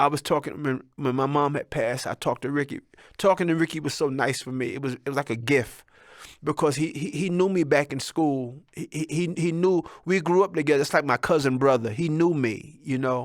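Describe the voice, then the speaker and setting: Over a silent background in a very clean recording, a man speaks fairly quickly at a fairly high pitch with ordinary pitch variation. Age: 60s. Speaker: entertainer and comedian hosting a talk show. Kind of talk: casual monologue. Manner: animated.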